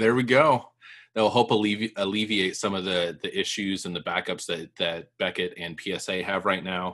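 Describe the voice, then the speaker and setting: Here is a man with an unremarkable speaking voice. His pitch is fairly low and his pace moderate. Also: ordinary pitch variation. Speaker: podcast co-host. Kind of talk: casual chat.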